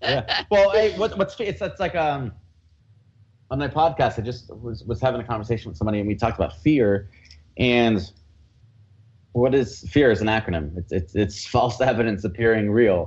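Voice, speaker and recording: Somewhat breathy and with an American accent, the speaker moves at a moderate pace with lively intonation and long, frequent pauses. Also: man, medium pitch for a man. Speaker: entrepreneur coach and speaker. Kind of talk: interview chat.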